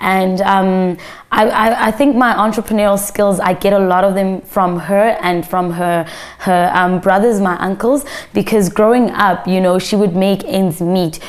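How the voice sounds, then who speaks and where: Over noticeable background noise, a woman at medium pitch talks at a fairly slow pace with fairly even intonation. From South Africa, raised in Pretoria. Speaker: media entrepreneur. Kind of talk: interview.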